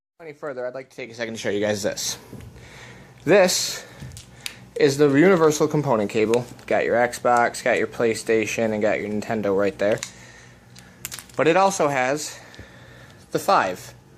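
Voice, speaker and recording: A man of medium pitch speaks with lively intonation and long, frequent pauses. His loudness swings widely, and background noise is noticeable. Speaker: gaming tech youtuber. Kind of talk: tutorial. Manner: fast; casual, conversational.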